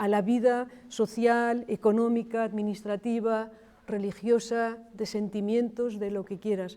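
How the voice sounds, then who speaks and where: The woman's tone is dark and mellow, with a fairly high pitch. She speaks at a fairly slow pace. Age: 60s. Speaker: archaeologist. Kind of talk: panel discussion.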